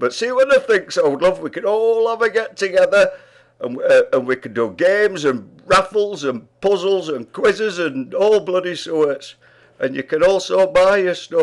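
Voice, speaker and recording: Pitched high, a man with a Yorkshire accent speaks at a moderate pace with lively intonation. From Yorkshire, England. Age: 80s+. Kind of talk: casual talk to camera. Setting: pub.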